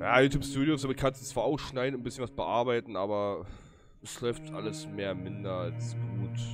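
Clear music plays behind a man whose pitch varies in an ordinary way. The sound is dry, with no echo. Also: moderate pace. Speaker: game streamer. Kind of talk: casual stream commentary.

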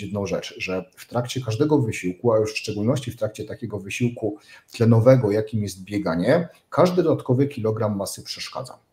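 Talking at a very fast pace, a man has a dark, mellow tone and ordinary pitch variation. His loudness swings widely. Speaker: remote guest. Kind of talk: interview answer. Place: office.

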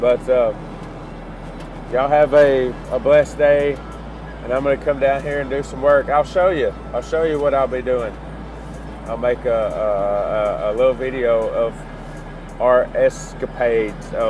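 With long, frequent pauses, a man speaks at a fairly slow pace in a dry sound with no echo, over noticeable background noise. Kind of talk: casual vlog chat. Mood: relaxed, cheerful. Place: car. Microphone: phone near.

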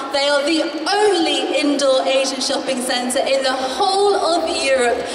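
Amid noticeable background noise and audible room echo, a woman talks at a fairly slow pace in a high pitch. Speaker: event host. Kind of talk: stage announcement. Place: hall.

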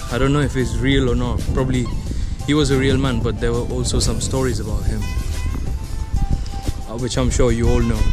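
A man speaks at a fairly quick pace. Music plays clearly behind him. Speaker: travel vlogger. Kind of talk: casual vlog chat. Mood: cheerful, amused. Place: street. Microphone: phone near.

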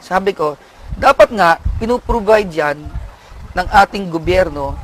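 A man's intonation is lively, heard over noticeable background noise. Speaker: prison official. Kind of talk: interview.

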